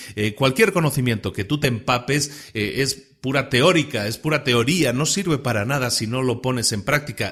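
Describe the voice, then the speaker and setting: A man's medium-pitched voice at a moderate pace, ordinary pitch variation, hardly any pauses. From Spain. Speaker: podcast host. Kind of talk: podcast monologue. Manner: conversational, some repetitions and fillers.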